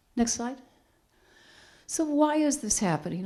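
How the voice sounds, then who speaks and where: The woman's tone is dark and mellow. She speaks at a moderate pace. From New England. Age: 60s. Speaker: counseling and human services trainer. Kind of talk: public talk.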